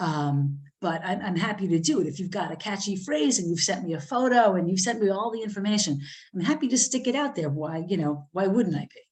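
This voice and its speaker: With an American accent, a woman talks at a fairly quick pace in a medium pitch, her intonation lively and her voice somewhat breathy. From New Jersey. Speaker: magazine editor and author. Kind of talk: workshop talk. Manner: many fillers and restarts.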